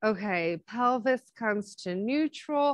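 In a dry sound with no echo and a quiet background, a woman talks with lively intonation. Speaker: exercise instructor. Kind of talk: casual workout instruction. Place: garden.

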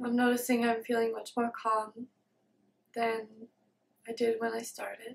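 Over light background noise, a woman with a fairly high pitch speaks with a gentle tone and monotone, flat intonation, leaving long, frequent pauses. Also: moderate pace. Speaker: meditation video creator, self-described student of meditation. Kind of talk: guided meditation. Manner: gentle, halting with long silences. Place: home room.

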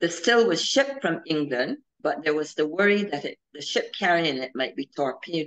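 Against a quiet background, a woman in a Barbadian accent speaks at a moderate pace with very wide pitch swings. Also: fairly low pitch for a woman. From Barbados. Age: 70s. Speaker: historian; presenter. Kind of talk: history lecture. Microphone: video call.

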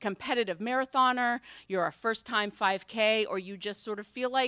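A woman's bright, sharp tone at a fairly quick pace, with dry sound, no echo and a quiet background. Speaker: event host. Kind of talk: event welcome and introduction. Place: hall. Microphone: podium.

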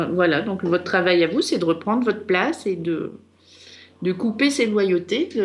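A woman speaks at a medium pitch. The variation in her pitch is ordinary. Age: 50s. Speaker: astrologer and psychogenealogy reader. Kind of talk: radio consultation. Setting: radio studio.

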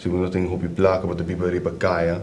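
Over light background noise, a man with a very deep, low pitch speaks at a moderate pace. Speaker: addiction counselor. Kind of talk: explanatory talk. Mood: calm, serious. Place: office.

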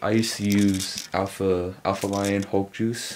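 Against light background noise, a man speaks in a flat monotone at a fairly low pitch. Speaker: fitness vlogger. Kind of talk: casual vlog chat. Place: home room. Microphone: phone near.

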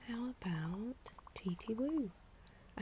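This voice is soft-spoken. Light background noise can be heard. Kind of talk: game dialogue line. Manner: soft, hushed ASMR reading.

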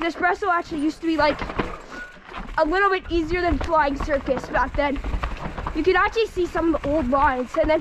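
A woman speaks at an extremely high pitch and a fairly quick pace. The sound is dry with no echo, and there is noticeable background noise. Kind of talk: casual ride commentary. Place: forest. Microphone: phone near.

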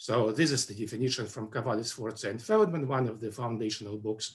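A man speaks with lively intonation in a somewhat breathy voice. The background is quiet. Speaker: webinar presenter. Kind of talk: lecture. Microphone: webcam.

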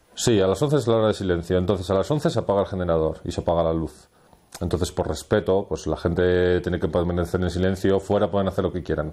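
Very fast in pace, a man speaks with a very deep, low pitch, a dark, mellow tone, and ordinary pitch variation. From Valladolid, Spain; Spain. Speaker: mountain hut warden; guide. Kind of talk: interview while hiking. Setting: outdoors in the mountains.

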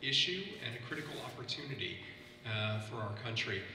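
A man with an American accent at a moderate pace, with audible room echo and light background noise. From US Midwest (Ohio). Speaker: government official on panel. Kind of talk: roundtable moderation. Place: factory.

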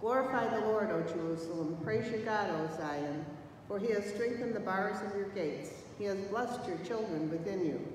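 The speech moves at a fairly quick pace with hardly a break in tempo. Strong room echo and light background noise are present. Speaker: lector reading scripture. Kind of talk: scripture reading aloud. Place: church. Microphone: podium.

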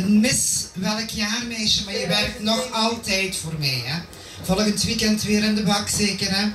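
Against noticeable background noise, a woman speaks with ordinary pitch variation. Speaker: pageant organizer. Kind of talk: speech. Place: hall.

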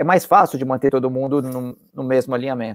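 Moderate-paced speech from a man, the background quiet. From Brazil, São Paulo. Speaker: company co-founder, marketing executive; guest. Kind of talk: casual interview. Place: home room. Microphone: earbuds.

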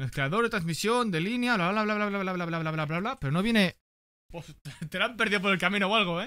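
In a raised, projected voice, a man speaks fairly quickly with a high pitch, a bright, sharp tone and ordinary pitch variation. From Spain. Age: 20s. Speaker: gaming streamer. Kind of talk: casual unboxing chat with viewers. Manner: animated. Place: home room. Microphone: studio mic.

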